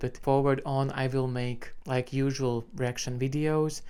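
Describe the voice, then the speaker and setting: The speaker has a Latvian accent. The pace is very slow. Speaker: music reaction YouTuber. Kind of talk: casual commentary to camera. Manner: casual, filler-heavy.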